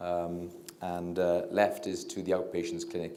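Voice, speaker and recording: A man with a Welsh accent speaks at a very deep, low pitch in monotone, flat intonation. Audible room echo surrounds his voice. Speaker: doctor and diabetes researcher. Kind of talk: public lecture. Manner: quiet, low talker; hesitant, many fillers.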